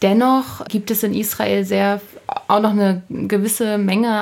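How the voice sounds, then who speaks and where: Speaking at a fairly slow pace, this woman has an unremarkable speaking voice. Her pitch is medium. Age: 20s. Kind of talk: interview.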